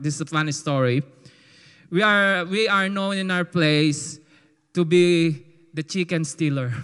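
With a Filipino accent, a man talks at a fairly slow pace and fairly high pitch, with ordinary pitch variation and long, frequent pauses. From Philippines. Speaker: testimony giver. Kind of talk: testimony. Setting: church. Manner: animated.

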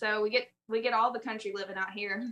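A woman with a Southern US accent uses a bright, sharp tone at a fairly high pitch, keeping her intonation fairly even. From US South (South Alabama, southern Mississippi). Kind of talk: casual chat.

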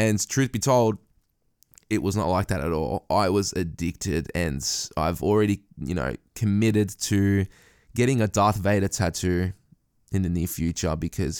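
A man with an Australian accent speaks at a moderate pace in a very deep, low pitch with vocal fry. The recording is very clean, with a silent background. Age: 20s. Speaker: podcast host. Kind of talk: casual chat.

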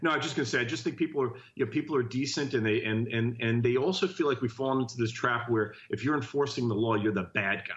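A very fast, somewhat breathy man with an American accent and a medium pitch, with hardly any pauses. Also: ordinary pitch variation. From New Jersey (Jersey City). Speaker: congressional candidate. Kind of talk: interview.

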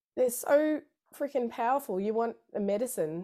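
A woman talks at a moderate pace with lively intonation and a dark, mellow tone. The recording is very clean, with a silent background. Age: 30s. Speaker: harpist, vocalist and music therapist. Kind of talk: casual interview chat. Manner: halting, many fillers and restarts.

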